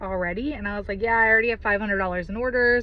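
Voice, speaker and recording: A woman speaks with ordinary pitch variation. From Virginia. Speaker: direct sales leader. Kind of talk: personal testimony talk. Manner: loud; talkative, filler-heavy.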